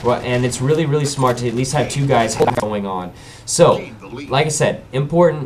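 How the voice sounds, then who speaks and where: A man with a medium pitch talks fairly quickly and with lively intonation, over noticeable background noise. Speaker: gaming commentator. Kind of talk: gameplay commentary. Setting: webcam microphone. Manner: casual, hesitant.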